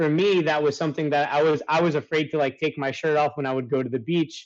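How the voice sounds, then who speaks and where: Talking at a very fast pace, a man with a fairly high pitch keeps his intonation fairly even. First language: Italian. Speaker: life coach. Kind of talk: interview.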